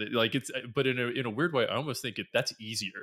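A man speaks in a bright, sharp tone with ordinary pitch variation. The sound is dry and close with no echo, in a very clean recording with a silent background. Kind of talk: casual interview chat. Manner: casual, filler-heavy.

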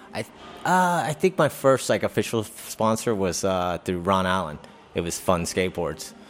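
Over music in the background, a man with an American accent speaks at a moderate pace in a fairly low pitch with ordinary pitch variation. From Virginia, Hampton area. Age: 40s. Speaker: professional skateboarder. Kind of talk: casual interview. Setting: live show in a hotel.

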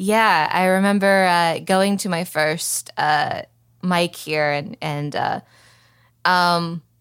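Speaking at a very slow pace with a slight Southern US accent, the voice shows ordinary pitch variation in a very clean recording with a silent background. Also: woman. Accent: slight Southern, comes out on certain words. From Oklahoma City, Oklahoma. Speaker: stand-up comedian. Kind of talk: casual interview chat. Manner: halting, many fillers.

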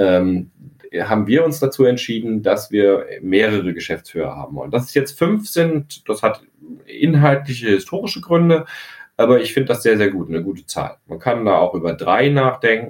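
At a moderate pace, a man with a medium pitch makes very wide pitch swings. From Hesse, near Frankfurt. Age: 40s. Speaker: architect and company director. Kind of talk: interview.

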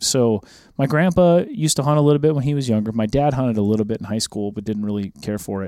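Speaking very fast with an American accent, a man has a medium-pitched voice with a dark, mellow tone and lively intonation, captured on a very clean recording with a silent background. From rural Minnesota, US Upper Midwest. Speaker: country music artist and hunting TV host. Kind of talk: casual chat. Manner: animated.

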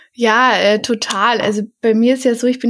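A woman at a fairly high pitch with monotone, flat intonation and a fairly slow pace. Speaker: podcast host, veterinary student. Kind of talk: casual interview.

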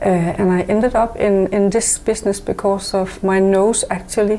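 A woman talks at a fairly slow pace. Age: 50s. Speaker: natural cosmetics business owner. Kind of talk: interview. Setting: studio.

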